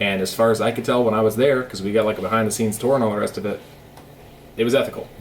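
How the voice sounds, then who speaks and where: A man with medium pitch speaks at a very fast pace. There is noticeable background noise. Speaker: vlogger. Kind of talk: casual vlog monologue. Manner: animated, conversational.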